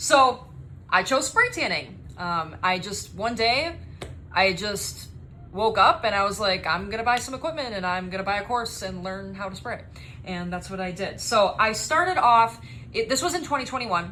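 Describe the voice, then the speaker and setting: There is audible room echo around a woman's voice. She speaks with lively intonation. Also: medium pitch for a woman, moderate pace. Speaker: spray tan business owner and trainer. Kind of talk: course introduction video. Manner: energetic.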